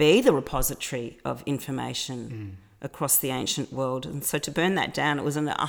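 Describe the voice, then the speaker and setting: A woman with an Australian accent, very deep, low pitch, vocal fry, ordinary pitch variation and moderate pace, on a very clean recording with a silent background. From Australia, Melbourne. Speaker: cultural advocate. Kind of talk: interview.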